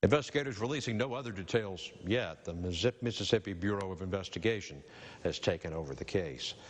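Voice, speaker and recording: Against a quiet background, a man with an ordinary speaking voice talks at a fairly low pitch. His pace is fairly quick and his intonation is lively. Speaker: news anchor. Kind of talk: TV news read.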